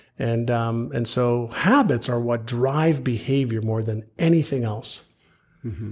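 Somewhat breathy, a man speaks at a fairly slow pace with a medium pitch and ordinary pitch variation. It's a very clean recording with a silent background. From Montreal, Canada (born in Israel). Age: 50s. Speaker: author and entrepreneur. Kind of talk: interview conversation. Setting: live podcast in person.

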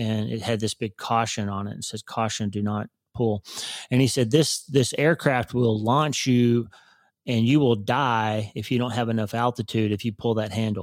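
A man with an unremarkable speaking voice talks at a medium pitch and moderate pace with fairly even intonation, the sound dry and close with no echo. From Oklahoma. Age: 50s. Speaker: neurosurgeon and author. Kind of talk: casual interview.

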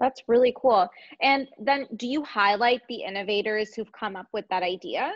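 A woman with a Canadian accent speaks in a fairly high pitch at a moderate pace. Her loudness swings widely, while her pitch varies in an ordinary way. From Canada. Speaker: podcast host and entrepreneur. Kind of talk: casual interview. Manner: animated, heavy use of like.

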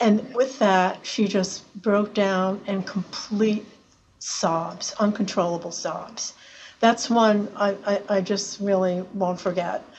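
Very slowly and somewhat breathily, a woman speaks with fairly even intonation. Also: medium pitch for a woman. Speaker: claims director, lawyer. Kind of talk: casual interview chat. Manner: hesitant, halting.

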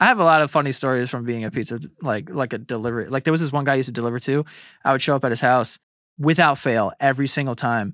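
Speaking at a very fast pace, a man uses a New York accent with ordinary pitch variation. The recording is very clean, with a silent background. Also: medium pitch for a man. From New York City, Queens. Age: 30s. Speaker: podcaster and internet personality. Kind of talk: casual chat. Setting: studio.

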